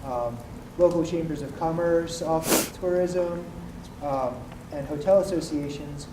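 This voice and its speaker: A fairly high-pitched man at a moderate pace, with fairly even intonation, big swings in loudness, long, frequent pauses, audible room echo and noticeable background noise. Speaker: workshop participant. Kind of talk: group report-back.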